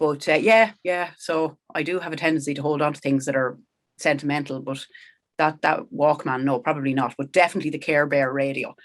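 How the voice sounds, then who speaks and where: A woman speaks with a Kildare Irish accent. Her pitch is very deep and low. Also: fairly quick pace. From Ireland, County Kildare (Sallins). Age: 40s. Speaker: country rock singer. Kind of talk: podcast interview, casual chat. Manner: animated, conversational.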